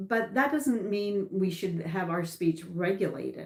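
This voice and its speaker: A woman with a Canadian accent, her pitch medium, her pitch variation ordinary, her pace very slow. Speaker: political commentator. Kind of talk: livestream monologue. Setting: livestream. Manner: loud.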